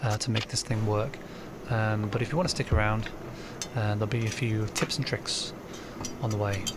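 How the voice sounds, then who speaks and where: A man with a fairly low pitch talks at a moderate pace, with fairly even intonation, very even loudness and long, frequent pauses, over noticeable background noise. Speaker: electronics repair hobbyist. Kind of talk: tutorial. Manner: hesitant, many filler words; rambling casual. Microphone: poor sound quality.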